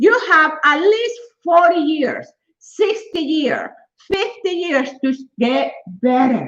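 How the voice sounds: Slowly, a woman speaks at a high pitch with big pitch swings and a fairly bright tone.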